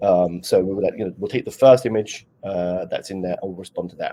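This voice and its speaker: A man with a British accent at a very fast pace. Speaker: conference speaker, developer relations lead. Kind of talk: Q&A after a conference talk.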